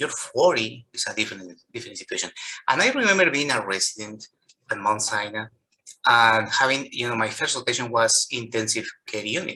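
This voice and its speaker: In a Colombian accent, a man talks at a fairly quick pace with big swings in loudness. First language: Spanish. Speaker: physician. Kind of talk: interview. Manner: halting.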